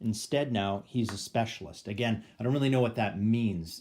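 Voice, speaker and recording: At a moderate pace, a man speaks with a medium pitch. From Canada. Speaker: board game YouTuber. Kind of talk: gameplay tutorial. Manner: hesitant, many fillers. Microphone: phone near.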